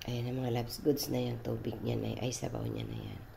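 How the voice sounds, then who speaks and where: A woman's voice carries audible room echo, with noticeable background noise around it. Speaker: cooking vlogger. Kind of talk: cooking tutorial. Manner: casual, chatty.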